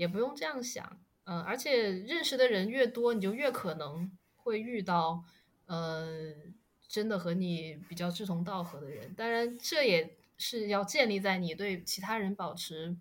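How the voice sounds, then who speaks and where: Her pitch medium and her intonation lively, a woman speaks at a fairly slow pace with long, frequent pauses. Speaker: podcast guest. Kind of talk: casual chat.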